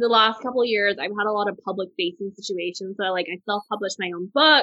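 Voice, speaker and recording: An unremarkable speaking voice with an American accent. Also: woman. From Texas. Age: 30s. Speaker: food and travel blogger. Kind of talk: interview.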